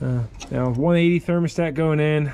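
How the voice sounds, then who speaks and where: A man talks with ordinary pitch variation. Light background noise sits behind him. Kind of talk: casual workshop commentary. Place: garage.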